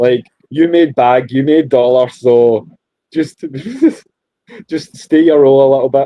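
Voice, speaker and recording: Speaking in a Scottish accent at a moderate pace, a man keeps a medium pitch and fairly even intonation, with long, frequent pauses. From Scotland. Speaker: podcast host. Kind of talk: casual chat.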